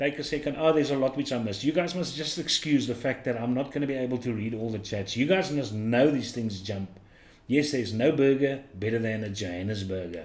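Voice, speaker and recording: Lively intonation marks this man's speech. He moves along at a fairly quick pace. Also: medium pitch for a man. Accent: South African. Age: 50s. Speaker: livestream host. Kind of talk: casual chat.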